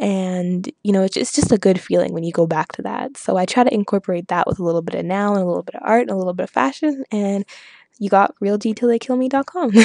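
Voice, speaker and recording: A woman's very fast, lively speech with a Canadian accent, medium in pitch, dark and mellow in tone. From Canada, Saskatchewan. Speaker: hip-hop blogger. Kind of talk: interview monologue. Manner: casual, many fillers.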